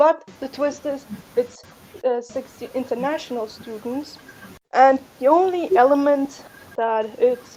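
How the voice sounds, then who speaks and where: A woman with a strong non-native accent speaks at a fairly slow pace, with long, frequent pauses. Her pitch is high with ordinary variation, over noticeable background noise. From outside North America. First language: not English. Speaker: fan game creator. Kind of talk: casual chat.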